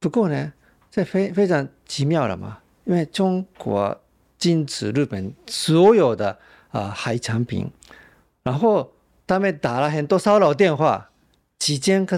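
A man's fairly high voice with a slight Japanese accent, fairly slow, with very wide pitch swings and long, frequent pauses, on a very clean recording with a silent background. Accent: slight Japanese accent in Mandarin. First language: Japanese (speaking Chinese). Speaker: journalist. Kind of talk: interview.

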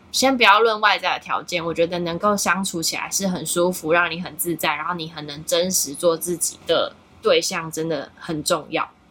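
With noticeable background noise behind her, a woman talks at a moderate pace with hardly any pauses and fairly even intonation. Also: fairly low pitch for a woman. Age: 30s. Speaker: content creator. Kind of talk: casual chat.

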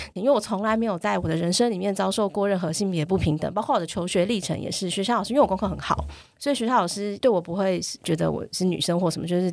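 This woman's voice sits at a medium pitch. She talks very fast with ordinary pitch variation. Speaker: NGO chair, parenting advocate. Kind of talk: casual chat.

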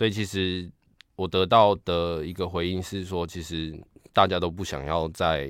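A man with a Taiwanese accent speaks at a fairly slow pace in a very deep, low voice. His intonation stays fairly even. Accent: Taiwanese Mandarin. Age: young. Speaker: piano tuner. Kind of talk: interview. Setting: video call. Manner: halting.

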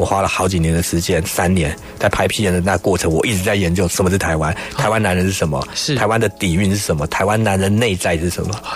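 At a very fast pace, a man talks in a very deep, low voice with very even loudness and ordinary pitch variation over noticeable background noise. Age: 40s. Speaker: hairstylist. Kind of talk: interview.

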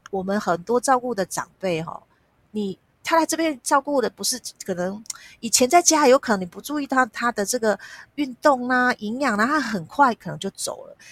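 Recorded very cleanly with a silent background and a dry, close sound with no echo, a woman speaks in a high pitch with lively intonation and big swings in loudness. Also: moderate pace. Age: 50s. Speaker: nonprofit foundation executive director. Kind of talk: interview.

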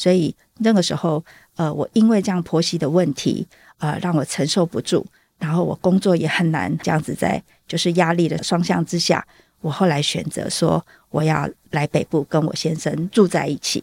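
Fairly low in pitch, a woman's ordinary speaking voice moves at a moderate pace with fairly even intonation, in a very clean recording with a silent background and a dry, close sound with no echo. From southern Taiwan. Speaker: stay-at-home mother and school volunteer. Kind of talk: interview testimony.

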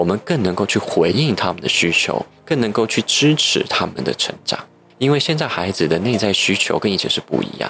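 A man's fairly low voice with very wide pitch swings at a fairly quick pace, over noticeable background noise. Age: young. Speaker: psychotherapist. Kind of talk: interview. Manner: articulate and well-organized.

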